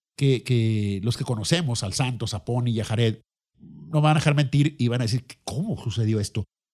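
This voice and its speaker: A man with a Mexican accent, animated and somewhat breathy, at a fairly quick pace in a dry, close sound with no echo. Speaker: podcast host. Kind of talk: casual monologue.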